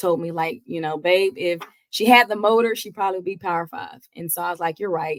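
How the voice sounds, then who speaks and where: A woman speaks with a slight Georgia accent at medium pitch, with ordinary pitch variation. Her loudness swings widely. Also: fairly quick pace. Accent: slight Georgia twang. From Georgia, US South. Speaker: college basketball head coach. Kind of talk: interview.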